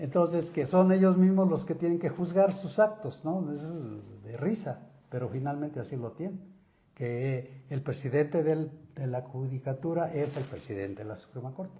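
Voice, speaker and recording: A man with a fairly high pitch and a dark, mellow, somewhat breathy tone speaks at a moderate pace with big swings in loudness. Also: lively intonation. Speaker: lawyer and author. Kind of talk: interview.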